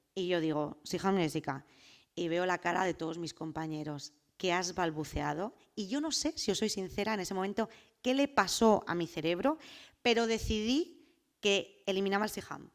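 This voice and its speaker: Her intonation is lively, at a medium pitch, in a Madrid accent. The woman is recorded very cleanly against a silent background. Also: moderate pace. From Spain, Madrid. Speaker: political scientist and activist speaker. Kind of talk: personal testimony talk.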